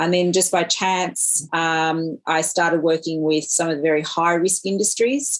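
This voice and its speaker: Delivery comes at a moderate pace with monotone, flat intonation. The accent is Australian. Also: woman. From regional Australia. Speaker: professor and digital technology entrepreneur. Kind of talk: interview. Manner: hesitant with many fillers.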